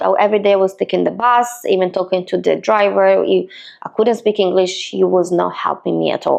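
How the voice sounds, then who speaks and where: A woman with an Italian accent. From Italy, Milan. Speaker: real estate agent. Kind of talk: personal story vlog. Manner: hesitant, with fillers.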